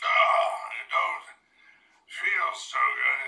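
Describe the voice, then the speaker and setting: An extremely high-pitched put-on character voice from a man. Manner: slurred.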